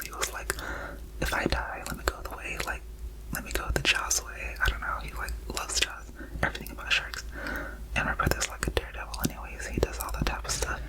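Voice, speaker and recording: A woman whispering at a fairly quick pace over noticeable background noise. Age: 20s. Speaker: ASMR creator. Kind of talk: ASMR storytime ramble. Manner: whispered, casual, rambling.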